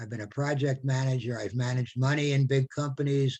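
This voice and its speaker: Somewhat breathy, a man talks at a moderate pace with a fairly high pitch. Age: 70s. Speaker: retired carpenter and volunteer. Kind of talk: casual chat. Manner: halting, many repetitions.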